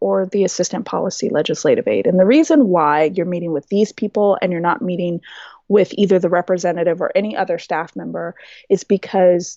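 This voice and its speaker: At a moderate pace, an unremarkable speaking voice carries on. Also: woman. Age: 30s. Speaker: health advocate. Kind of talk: podcast interview.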